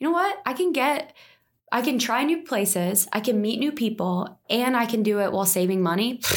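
A woman with an American accent uses a normal speaking voice and lively intonation. The recording is very clean, with a silent background. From New Jersey, near Philadelphia. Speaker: startup founder. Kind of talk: interview. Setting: in person studio recording.

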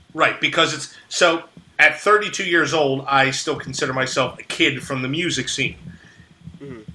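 A man with an American accent, big swings in loudness, and noticeable background noise. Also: fairly high pitch for a man, ordinary pitch variation, moderate pace. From South Jersey, US. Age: 30s. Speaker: music show promoter. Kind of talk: casual podcast interview. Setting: video call.

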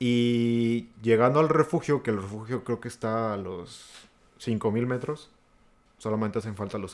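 A man at a medium pitch with a Mexican accent, on a very clean recording with a silent background. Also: big swings in loudness. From rural Mexico. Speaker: podcast co-host. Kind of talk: casual chat.

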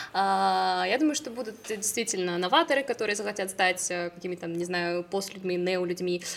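A woman's medium-pitched voice, an unremarkable speaking voice, at a moderate pace with ordinary pitch variation and hardly any pauses. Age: 20s. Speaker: plant-based food company co-founder. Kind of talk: casual chat.

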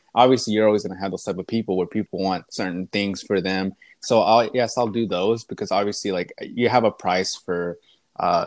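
The recording sounds dry and close, with no echo. An ordinary speaking voice with an American accent keeps a fairly even intonation. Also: man. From East Texas. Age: 20s. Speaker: visual artist. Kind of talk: interview. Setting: remote call.

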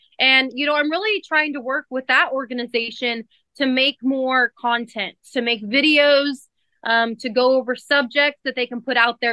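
A high-pitched woman's voice with an American accent and fairly even intonation. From central California. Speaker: dairy farmer and country singer. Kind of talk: interview. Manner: casual, many fillers.

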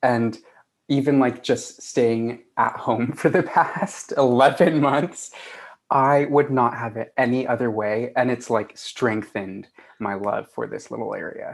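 Speaking very slowly, this man has a mid-range pitch. The pitch moves up and down in a normal way. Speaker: guest, office worker and student. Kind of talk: casual chat. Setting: video call.

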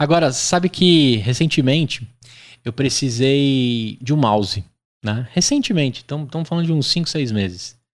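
In a very clean recording with a silent background, a man speaks fairly slowly at a fairly high pitch with lively intonation. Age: 30s. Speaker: podcast host. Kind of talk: interview. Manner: animated.

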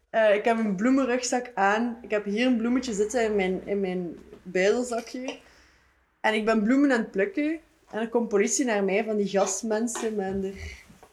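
Here a woman talks with a plain, everyday voice and a fairly high pitch. Her intonation stays fairly even at a moderate pace. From Ghent area, Belgium. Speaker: art student and video artist. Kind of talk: casual chat.

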